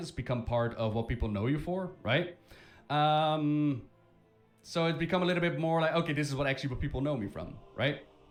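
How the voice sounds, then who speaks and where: Over music in the background, a man speaks with a Dutch accent at a fairly quick pace. His pitch is fairly high and his intonation lively. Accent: Dutch accent, rolled R's. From Netherlands. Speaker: gaming streamer. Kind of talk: live stream commentary.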